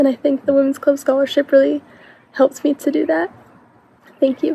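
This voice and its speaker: In an American accent, a woman talks at a fairly quick pace and a high pitch with ordinary pitch variation, in a dry, close sound with no echo and noticeable background noise. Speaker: scholarship recipient, college student. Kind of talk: recorded testimonial.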